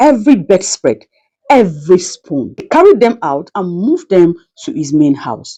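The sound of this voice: Her voice has a dark, mellow tone at medium pitch, and this woman moves at a moderate pace with big pitch swings.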